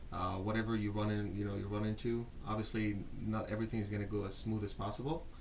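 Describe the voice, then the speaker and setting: A man talks at a very fast pace and fairly low pitch, with fairly even intonation. Loudness stays very even, and audible room echo is present. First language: not English. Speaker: marketing executive. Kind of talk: casual interview.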